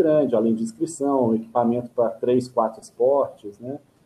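With a normal speaking voice, a man talks at a moderate pace and medium pitch, his pitch varying in an ordinary way. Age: 50s. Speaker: adventure racer and craft brewery owner. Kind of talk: casual interview.

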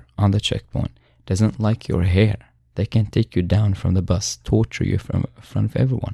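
A man with an Arabic accent, fairly low in pitch, with a dark, mellow tone, somewhat breathy, at a moderate pace with ordinary pitch variation, dry and close with no echo, over a quiet background. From Syria. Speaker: human rights advocate and former prisoner. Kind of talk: interview. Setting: studio.

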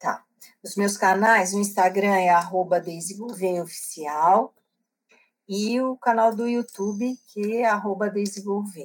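Talking very slowly with long, frequent pauses, a woman keeps a medium pitch and fairly even intonation while her loudness swings widely. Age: 60s. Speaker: book club organizer and author. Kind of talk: interview.

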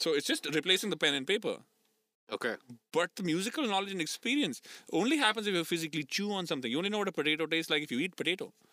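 A man talks at a very fast pace in a high pitch. His tone is bright and sharp, with lively intonation. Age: 30s. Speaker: drummer. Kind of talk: casual chat.

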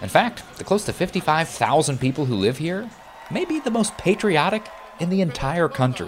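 Over background music, a man with a high pitch speaks at a moderate pace with lively intonation. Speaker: TV news correspondent. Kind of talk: scripted news narration.

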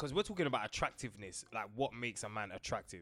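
Over music in the background, a man speaks in a London accent with an animated tone. His pitch swings very widely. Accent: London multicultural English. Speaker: podcast co-host. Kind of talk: casual chat.

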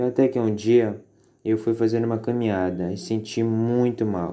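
This man has a plain, everyday voice at medium pitch. His intonation is fairly even. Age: 20s. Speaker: anorexia survivor. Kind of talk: testimony. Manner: scripted, formal.

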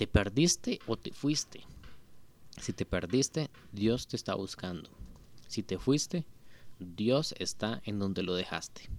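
A man at a very slow pace, fairly low in pitch, with lively intonation and long, frequent pauses. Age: 20s. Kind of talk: devotional talk. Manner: casual.

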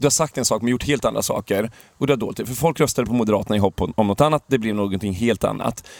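This very clean recording has a silent background and a dry, close sound with no echo. A man talks at a very fast pace. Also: medium pitch for a man, ordinary pitch variation. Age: 30s. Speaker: podcast co-host. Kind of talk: casual political chat. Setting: outdoors in an improvised gazebo.

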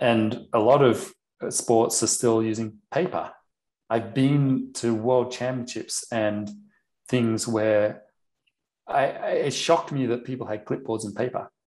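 A plain, everyday voice from a man at medium pitch, fairly slow in pace, with fairly even intonation. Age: 50s. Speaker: former professional athlete, obstacle sports official. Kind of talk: interview.

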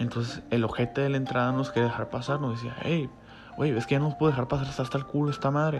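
Over noticeable background noise, a man talks at a very fast pace with a medium pitch and fairly even intonation. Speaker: podcaster. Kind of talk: storytelling monologue. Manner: halting.

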